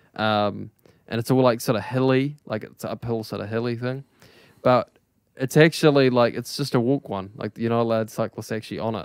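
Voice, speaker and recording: A man with a New Zealand accent speaks at a medium pitch with fairly even intonation. The sound is dry and close, with no echo. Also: moderate pace. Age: 20s. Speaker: podcast host, musician. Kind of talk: casual chat. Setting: online voice call.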